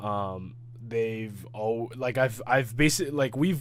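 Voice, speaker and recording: With audible room echo, a man speaks very slowly at medium pitch with fairly even intonation. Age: 20s. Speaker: K-pop reaction youtuber. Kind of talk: reaction video chat. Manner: halting, stuttering; casual, filler-heavy.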